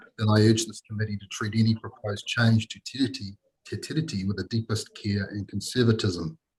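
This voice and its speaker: Somewhat breathy and fairly low, a man's voice in a New Zealand accent moves at a fairly quick pace with fairly even intonation and big swings in loudness, in a dry, close sound with no echo. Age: 60s. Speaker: consultant making a public submission. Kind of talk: formal submission to a parliamentary committee. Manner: formal, with hesitations.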